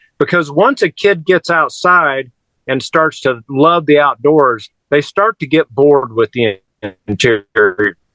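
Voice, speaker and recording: A man's fairly high, bright and sharp voice with an American accent, fairly slow and very even in loudness, with lively intonation and a dry, close sound with no echo. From Kansas, US. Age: 60s. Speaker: carpenter and youth outdoors leader. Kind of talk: interview conversation. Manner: halting, repeats words.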